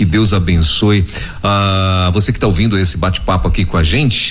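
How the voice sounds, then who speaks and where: A man speaks in a very deep, low voice. Noticeable background noise and room echo can be heard. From Pará, Brazil. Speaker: radio host. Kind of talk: interview. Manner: animated.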